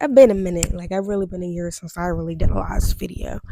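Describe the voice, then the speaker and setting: A woman speaks quietly at a fairly quick pace. Her pitch sits fairly low. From US Midwest, Steubenville, Ohio. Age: 20s. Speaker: vlogger. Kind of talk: personal testimony vlog. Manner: hesitant, many fillers.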